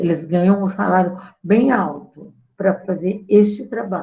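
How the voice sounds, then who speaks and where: Somewhat breathy and dark, mellow in tone, a woman speaks at a very slow pace with fairly even intonation. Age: 70s. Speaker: feminist activist. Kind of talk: talk to course participants.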